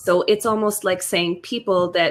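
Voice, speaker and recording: Here a woman speaks in a Western Canadian accent at a fairly slow pace. Her pitch is fairly low, with ordinary variation. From Western Canada, Alberta (French Canadian). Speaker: podcast co-host. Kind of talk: casual chat.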